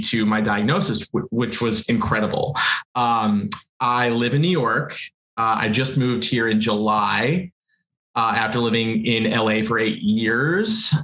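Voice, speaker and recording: Fairly slow and very even in loudness, a normal speaking voice moves with ordinary pitch variation. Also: man. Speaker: panel guest with type 1 diabetes. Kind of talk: casual panel chat.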